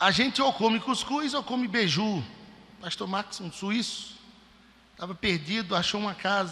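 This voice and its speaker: Raising and projecting his voice, a man with a high pitch and ordinary pitch variation speaks at a fairly slow pace with long, frequent pauses. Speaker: preacher. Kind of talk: sermon.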